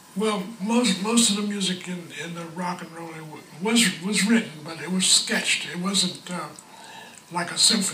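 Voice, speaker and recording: A man talks at a fairly slow pace with fairly even intonation. There is light background noise and audible room echo. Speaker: session bass player. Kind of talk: interview answer. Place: home room.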